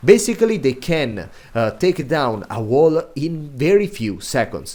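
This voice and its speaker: A man speaks in an Italian accent with a dark, mellow tone. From Italy. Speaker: video game content creator. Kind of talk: gaming guide commentary. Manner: hesitant, many filler sounds.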